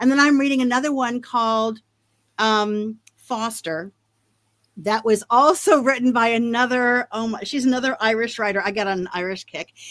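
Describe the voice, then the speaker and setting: A woman's fairly high pitch at a moderate pace, with ordinary pitch variation and an ordinary speaking voice, in a very clean recording with a silent background. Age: 60s. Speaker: author. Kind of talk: interview.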